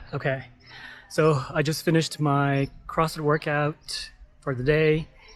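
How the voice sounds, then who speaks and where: Music plays in the background. A man with an American accent speaks with monotone, flat intonation. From United States. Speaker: travel vlogger. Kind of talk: casual vlog monologue. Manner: casual, filler-heavy.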